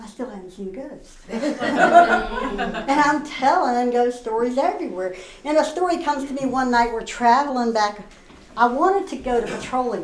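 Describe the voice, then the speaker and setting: Over noticeable background noise, a woman with a West Virginia accent speaks at a high pitch and a moderate pace with lively intonation and big swings in loudness. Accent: West Virginia, Appalachian. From Northern Virginia, USA. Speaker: storyteller. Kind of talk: live storytelling performance. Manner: folksy, conversational.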